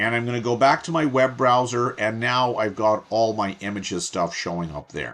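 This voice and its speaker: A man's unremarkable speaking voice at medium pitch, with ordinary pitch variation, a moderate pace and hardly any pauses. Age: 60s. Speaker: course instructor. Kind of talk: tutorial. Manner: casual, conversational.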